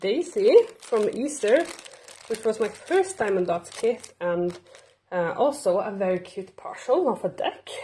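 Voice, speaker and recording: Lively intonation colors a dark, mellow, somewhat breathy tone delivered at a fairly slow pace. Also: woman. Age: 30s. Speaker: crafting channel host. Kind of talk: casual unboxing chat.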